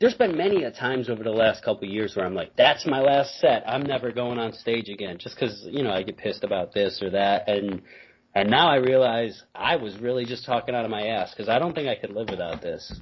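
Somewhat breathy, a man talks at a very fast pace with hardly any pauses and ordinary pitch variation. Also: medium pitch for a man. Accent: American. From Binghamton, upstate New York. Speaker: stand-up comedian. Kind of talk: casual chat. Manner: laid-back, self-deprecating, joking.

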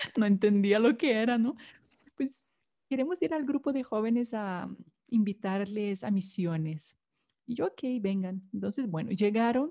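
With a Brazilian accent, a woman speaks at a fairly slow pace in a fairly high pitch, her tone dark and mellow and her intonation lively. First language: Portuguese (speaking Spanish). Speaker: consecrated laywoman. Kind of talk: testimony.

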